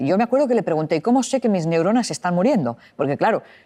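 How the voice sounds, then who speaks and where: Her pitch swings very widely as she talks. The audio is very clean and the background silent. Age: 60s. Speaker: psychologist and author. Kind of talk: interview.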